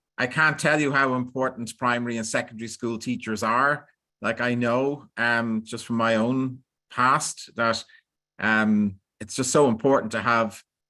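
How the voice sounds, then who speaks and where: In an Irish accent, a man of medium pitch talks at a fairly slow pace with fairly even intonation. His tone is bright and sharp over a quiet background. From Ireland. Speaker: professor. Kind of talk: online lecture.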